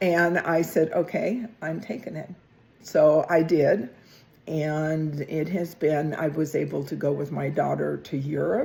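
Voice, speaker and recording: At a fairly slow pace, a woman speaks in a very deep, low voice with a dark, mellow tone, vocal fry and ordinary pitch variation. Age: 70s. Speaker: podcast co-host, retiree. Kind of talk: casual chat.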